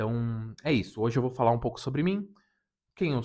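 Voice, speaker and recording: A man with an unremarkable speaking voice talks at a moderate pace with ordinary pitch variation. The background is quiet. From southern Brazil, Rio Grande do Sul (Serra region). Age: 30s. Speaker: anime YouTuber. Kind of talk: casual unedited self-introduction vlog.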